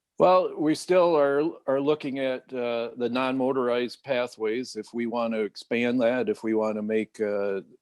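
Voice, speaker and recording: Dry and close with no echo, a man with an American accent and an unremarkable speaking voice talks at medium pitch with ordinary pitch variation and a moderate pace. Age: 60s. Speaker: city mayor. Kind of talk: radio interview. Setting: video call.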